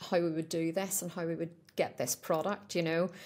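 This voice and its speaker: A woman with a Northern Irish accent speaks at a fairly low pitch, her intonation fairly even. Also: very clean recording, silent background. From Northern Ireland. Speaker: pet supplement business owner. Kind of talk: podcast interview. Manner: conversational, with frequent fillers.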